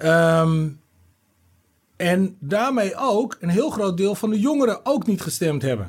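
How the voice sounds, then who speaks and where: Here a man speaks very slowly. His pitch is high, and his intonation is lively. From Netherlands. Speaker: rapper and former city councillor. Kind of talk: casual chat.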